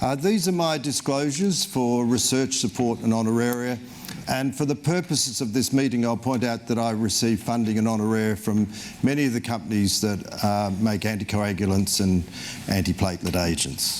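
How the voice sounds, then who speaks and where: A man's medium-pitched voice at a moderate pace and very even loudness, with noticeable background noise. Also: lively intonation. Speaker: cardiologist. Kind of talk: lecture. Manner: fairly halting, frequent fillers.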